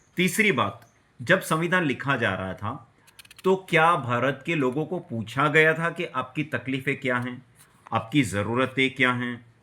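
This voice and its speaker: Noticeable background noise runs under this recording. A man talks at a medium pitch with lively intonation. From Gujarat, India. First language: Gujarati (speaking Hindi). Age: 40s. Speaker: vlogger. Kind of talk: personal video commentary. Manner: agitated, ranting.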